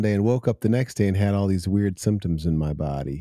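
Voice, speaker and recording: A man with an American accent speaks in a fairly low, dark and mellow voice with ordinary pitch variation, recorded very cleanly against a silent background with a dry, close sound and no echo. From Ohio, US. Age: 50s. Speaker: musician and music teacher with chronic illness. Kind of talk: casual interview chat.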